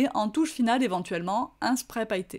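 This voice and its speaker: A woman's high-pitched voice with ordinary pitch variation, on a very clean recording with a silent background. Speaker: craft shop owner and tutorial host. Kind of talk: craft tutorial. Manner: hesitant fillers.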